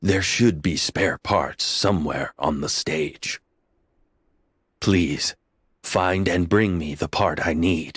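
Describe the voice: A man uses a cartoonish character voice with a very deep, low pitch and fairly even intonation. He talks at a very slow pace with long, frequent pauses, and the sound is dry and close with no echo.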